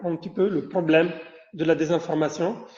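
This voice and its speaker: Audible room echo surrounds a man speaking with an Italian accent. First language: Italian (speaking French). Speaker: professor. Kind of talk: lecture. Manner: halting, with many fillers and repetitions.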